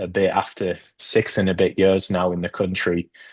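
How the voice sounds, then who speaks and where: A man speaks at a moderate pace with a British accent. The background is quiet. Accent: British accent, noticed by locals daily. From Northeast England. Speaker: immigrant panel speaker. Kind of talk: group discussion. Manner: halting, many fillers.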